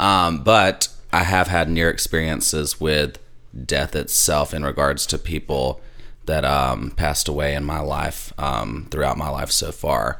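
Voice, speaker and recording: A man with a Southern US accent, very deep and low in pitch, at a fairly slow pace with ordinary pitch variation. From US South. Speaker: former funeral worker and church musician. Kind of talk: casual chat. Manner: animated.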